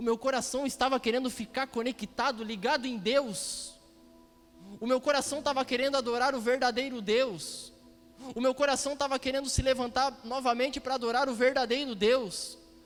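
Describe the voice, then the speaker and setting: Music plays in the background as a man speaks with an extremely high pitch and fairly even intonation. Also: moderate pace. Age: 30s. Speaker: preacher. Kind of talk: sermon.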